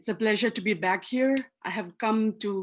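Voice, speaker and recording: Speaking fairly slowly with a Manipur accent, a woman uses a fairly high pitch and ordinary pitch variation. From Manipur, Northeast India. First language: Manipuri. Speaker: activist and author. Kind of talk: lecture. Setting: video call.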